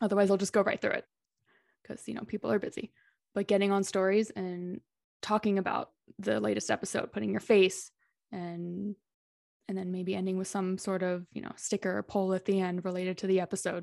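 Using a plain, everyday voice, a woman speaks at a fairly quick pace with a medium pitch and fairly even intonation, in a dry, close sound with no echo and a quiet background. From Texas (Dallas). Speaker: podcast manager. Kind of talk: casual interview.

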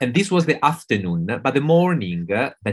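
A man speaks with a strong Italian accent at a moderate pace. His pitch swings very widely. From Italy. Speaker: veterinary clinical pathologist. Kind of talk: interview conversation. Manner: hesitant, many fillers.

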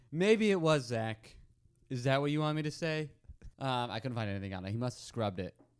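This is a man with an unremarkable speaking voice. He talks at a fairly quick pace with lively intonation. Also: medium pitch for a man. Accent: American. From Arizona. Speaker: comedy podcast co-host. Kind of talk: casual chat.

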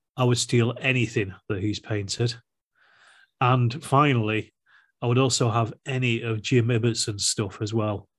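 Against a quiet background, a man talks at a moderate pace and medium pitch, somewhat breathy, with fairly even intonation. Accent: Yorkshire. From South Yorkshire, Rotherham. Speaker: wargaming YouTuber. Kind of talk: casual chat.

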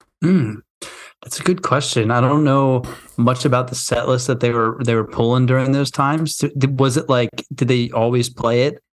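A man with a plain, everyday voice talks at medium pitch and a moderate pace, his intonation fairly even. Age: 20s. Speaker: podcast co-host. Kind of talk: casual chat.

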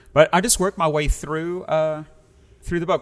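Music plays in the background as a man speaks with a South African accent. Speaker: pastor. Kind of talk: casual interview chat.

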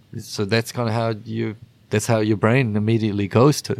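Recorded very cleanly against a silent background, a man with a New Zealand accent and a fairly low pitch talks at a moderate pace. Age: 40s. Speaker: rock bassist. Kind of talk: casual interview chat.

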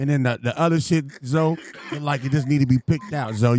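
In an ordinary speaking voice, a man talks at a fairly quick pace with fairly high pitch and fairly even intonation. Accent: American. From US West Coast. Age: 40s. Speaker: podcast host. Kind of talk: casual banter.

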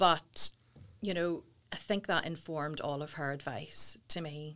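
The speaker has a Northern Irish accent. The tone is bright and sharp. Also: woman. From Northern Ireland, Portadown. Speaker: talent agency founder. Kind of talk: interview. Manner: animated.

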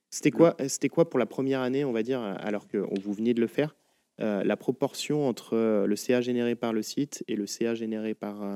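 A man's dark, mellow tone at medium pitch, with ordinary pitch variation, a moderate pace, and a dry, close sound with no echo. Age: 30s. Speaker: podcast host. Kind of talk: interview. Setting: in a shop.

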